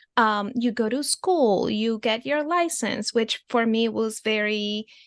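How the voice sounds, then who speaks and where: A woman with a Spanish accent, fairly high pitch and fairly slow pace, against a quiet background. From Venezuela. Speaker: therapist. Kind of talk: podcast interview. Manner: halting, many fillers.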